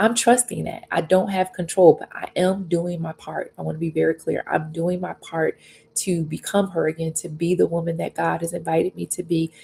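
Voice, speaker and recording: Soft-spoken, a woman talks at a moderate pace with hardly any pauses. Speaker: faith and life coach. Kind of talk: livestream devotional talk. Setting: live stream on YouTube and Facebook. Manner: gentle, reflective.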